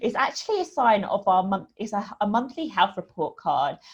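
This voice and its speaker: A woman with a British accent speaks at a fairly quick pace, her fairly high voice somewhat breathy. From UK. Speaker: women's hormone coach. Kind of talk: online talk / webinar presentation. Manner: casual, many fillers.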